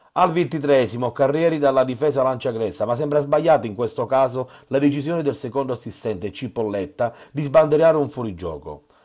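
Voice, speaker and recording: Speaking at a fairly quick pace, a man has an unremarkable speaking voice with medium pitch and ordinary pitch variation. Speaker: sports reporter. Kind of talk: sports match report with play-by-play recap voiceover. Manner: clipped, minute-by-minute, reports each chance in turn.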